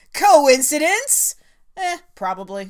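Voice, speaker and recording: A woman talks fairly slowly in a high voice whose pitch swings very widely. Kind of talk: fan review commentary. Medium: solo performance. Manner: chatty, sarcastic.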